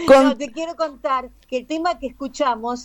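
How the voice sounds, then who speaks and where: A woman with a Rioplatense accent speaks at a fairly slow pace in a high voice. Noticeable background noise runs underneath. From Argentina (Buenos Aires), born in Paraguay. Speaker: singer. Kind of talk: interview. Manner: halting, many fillers.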